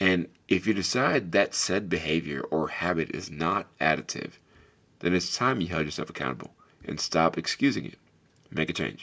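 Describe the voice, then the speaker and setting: A loud man's very deep, low voice, bright and sharp in tone, moderate in pace, with lively intonation. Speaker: podcast host. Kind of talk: solo podcast monologue. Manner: loud, animated; motivational, earnest.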